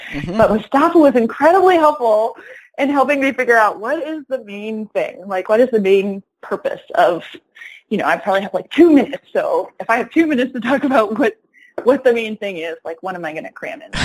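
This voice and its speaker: A woman with a high pitch speaks at a fairly quick pace. Her pitch swings very widely and her loudness swings a lot. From upstate New York (Rochester, Ithaca). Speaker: teacher. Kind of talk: interview conversation.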